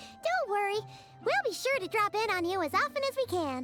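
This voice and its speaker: A put-on character voice at an extremely high pitch plays over clear music in the background. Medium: video game. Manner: casual, friendly.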